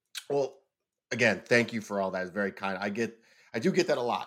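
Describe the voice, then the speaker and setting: Loud and animated, a man with an American accent talks at a very fast pace with very wide pitch swings, captured in a very clean recording against a silent background. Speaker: business owner and author. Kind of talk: casual chat.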